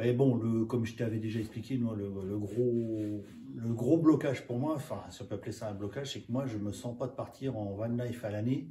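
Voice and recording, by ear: A man's fairly low, dark and mellow voice at a fairly quick pace, with ordinary pitch variation and audible room echo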